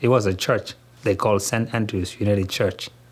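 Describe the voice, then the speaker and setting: A man speaks at a medium pitch with a Somali accent. His intonation stays fairly even. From southern Somalia, Kismayo. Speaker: grocery store owner and community leader. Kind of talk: interview. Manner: halting.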